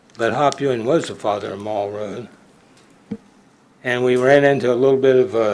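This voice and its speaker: A man's medium-pitched voice at a fairly quick pace, with audible room echo. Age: 80s+. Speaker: citizen speaker at public comment. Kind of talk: public comment at council meeting. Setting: council chamber. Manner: animated.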